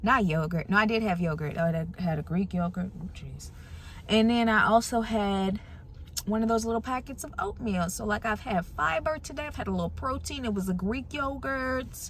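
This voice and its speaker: A woman talks at a fairly quick pace with medium pitch. Her voice is somewhat breathy, with lively intonation. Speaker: TV meteorologist, vlogger. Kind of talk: casual vlog chat. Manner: soft-spoken.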